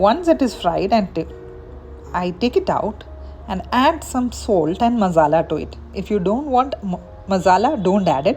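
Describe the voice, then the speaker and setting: With a Keralan accent, a woman of medium pitch speaks at a moderate pace with very wide pitch swings over noticeable background noise. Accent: Indian English (Malayali). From India, Kerala. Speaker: home cook. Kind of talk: cooking tutorial.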